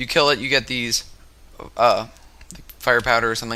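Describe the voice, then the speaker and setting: A man talks at a medium pitch and a very fast pace. Noticeable background noise runs underneath. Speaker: gaming YouTuber. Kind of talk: gameplay commentary. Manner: halting.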